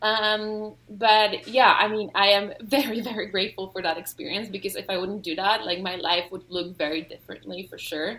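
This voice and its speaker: A woman's bright, sharp voice at a medium pitch and moderate pace, with fairly even intonation, big swings in loudness and hardly any pauses. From Denmark. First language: Polish and Danish. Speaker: author and study-abroad scholar. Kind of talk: interview.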